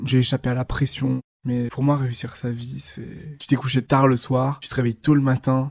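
A somewhat breathy voice speaks at a moderate pace with big swings in loudness. The intonation is flat and monotone, and the sound is dry and close with no echo. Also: man. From eastern France (Dijon, Haute-Marne countryside). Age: 20s. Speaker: magazine founder. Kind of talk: interview. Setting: at home.

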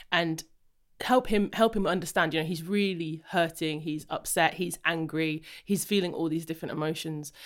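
A woman speaks with an English accent at a fairly low pitch and a moderate pace. Her tone is enthusiastic, and the recording is very clean with a silent background. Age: 30s. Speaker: podcast host and wellness coach. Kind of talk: interview.

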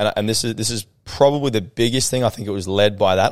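Moving at a fairly quick pace, a man with a fairly low pitch has an ordinary speaking voice. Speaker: business owner and sales coach. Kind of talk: casual interview chat. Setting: studio.

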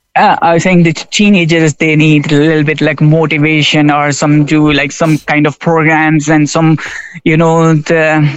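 A man talks at a fairly slow pace, his pitch fairly high for a man. His intonation is flat and monotone, and his loudness stays very even. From Pakistan. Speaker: railway station shop worker. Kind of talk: radio interview. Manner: halting, non-fluent English.

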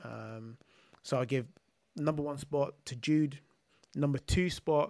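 A man with a London accent talks at a fairly slow pace with fairly even intonation. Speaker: football podcast co-host. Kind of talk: casual chat. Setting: remote call.

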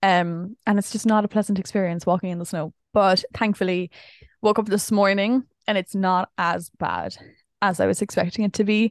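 In an Irish accent, a woman speaks at a moderate pace and medium pitch with fairly even intonation, the sound dry and close with no echo against a quiet background. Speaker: podcast co-host and vlogger. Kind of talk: casual chat.

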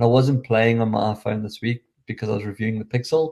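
A man rattles off his words at a very fast pace. Behind him the background stays quiet. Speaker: tech show host. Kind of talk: solo tech review podcast. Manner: casual, conversational.

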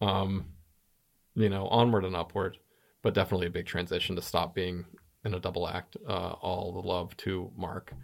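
A man's very deep, low voice in a Southwestern US accent, monotone and flat, with long, frequent pauses on a very clean recording with a silent background. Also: moderate pace. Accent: American Southwest. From US Southwest, New Mexico. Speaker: comedian. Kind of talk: casual interview chat.

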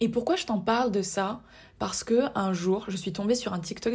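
On a very clean recording with a silent background, a woman speaks in a somewhat breathy voice at a fairly slow pace, with ordinary pitch variation. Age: 20s. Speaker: podcast host. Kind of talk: solo podcast monologue.

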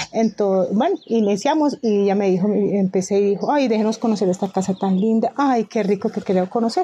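At a fairly quick pace and a medium pitch, a woman speaks in a dark, mellow tone with hardly any pauses and ordinary pitch variation. Her loudness stays very even against a quiet background. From Colombia, Pijao (Quindío). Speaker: home cook and food entrepreneur. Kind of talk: interview testimony.

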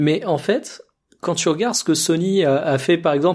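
A man's unremarkable speaking voice, fairly high in pitch, with ordinary pitch variation and a fairly slow pace, in a very clean recording with a silent background. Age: 20s. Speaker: video game podcast co-host. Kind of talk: casual chat.

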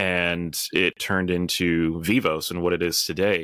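A man's very deep, low pitch and bright, sharp tone, with an American accent. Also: very clean recording, silent background. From US Midwest. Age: 30s. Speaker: bunker company executive. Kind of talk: interview.

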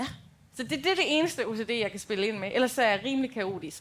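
Talking at a fairly quick pace, a woman with a plain, everyday voice uses a fairly high pitch and lively intonation. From Denmark, Rigskov. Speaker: podcast co-host. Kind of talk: live show banter. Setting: stage with audience.

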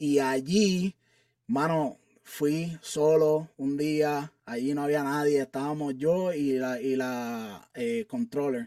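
Speaking at a very slow pace, a man has a fairly high pitch with ordinary pitch variation. His tone is dark and mellow. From Puerto Rico (Carolina). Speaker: army sergeant. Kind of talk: interview.

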